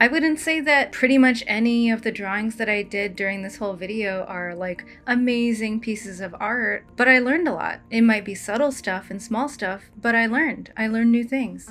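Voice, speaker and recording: In a normal speaking voice, the speaker goes at a moderate pace with ordinary pitch variation and hardly any pauses. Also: woman, fairly high pitch for a woman. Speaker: storyboard artist. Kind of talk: casual tutorial talk over drawing. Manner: casual, relaxed.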